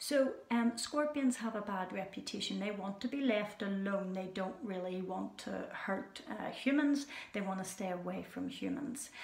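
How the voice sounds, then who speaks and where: A soft-spoken woman with a Scottish accent at medium pitch, ordinary pitch variation, moderate pace and hardly any pauses, amid audible room echo and noticeable background noise. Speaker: children's animal show presenter. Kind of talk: educational talk for children. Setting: indoors with animals at night. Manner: hesitant with fillers; soft-spoken, lowered voice.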